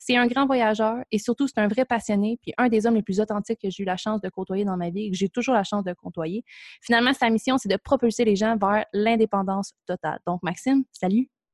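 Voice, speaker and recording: In a Quebec accent, a woman talks at a fairly quick pace with a fairly high pitch and ordinary pitch variation. The sound is dry and close, with no echo. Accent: Québécois French. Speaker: podcast host. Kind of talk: scripted introduction; casual interview.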